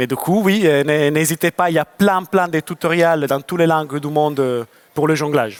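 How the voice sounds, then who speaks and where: Music plays in the background behind a man with a Lyon accent and a fairly high pitch. The sound is dry and close with no echo, and his pitch varies in an ordinary way. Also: moderate pace. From France, Lyon. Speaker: circus juggler. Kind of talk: audience Q&A at a conference. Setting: stage with audience.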